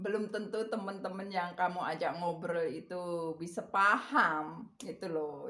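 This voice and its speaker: Speaking at a fairly slow pace with a strong Javanese accent, a woman with a fairly low pitch shows ordinary pitch variation. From Indonesia, Java. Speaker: vlogger. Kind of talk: casual chat. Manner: rambling with fillers.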